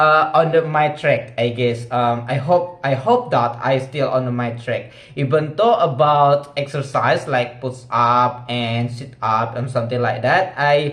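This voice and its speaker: Speaking very slowly with an Indonesian accent, a man uses a fairly high pitch and ordinary pitch variation amid audible room echo. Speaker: vlogger practicing English. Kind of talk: casual monologue vlog. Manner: halting, many fillers.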